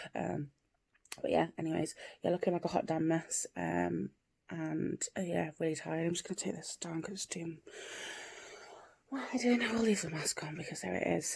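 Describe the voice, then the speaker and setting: Soft-spoken and with an English accent, a woman speaks at a moderate pace. She leaves long, frequent pauses. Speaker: vlogger. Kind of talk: casual vlog monologue. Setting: at home, early morning. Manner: soft-spoken, quiet; hesitant, many fillers.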